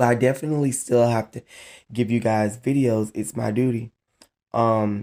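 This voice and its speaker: This man's voice sits at a medium pitch with a dark, mellow tone and fairly even intonation, moving at a moderate pace over a very clean recording with a silent background. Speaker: YouTuber on narcissistic relationships. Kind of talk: direct-to-camera vlog talk.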